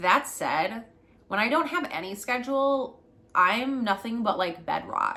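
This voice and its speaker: Bright and sharp in tone, this voice moves at a fairly slow pace with ordinary pitch variation. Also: woman. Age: 30s. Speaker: spiritual mentor and podcast host. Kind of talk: casual podcast monologue. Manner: rambling, hesitant.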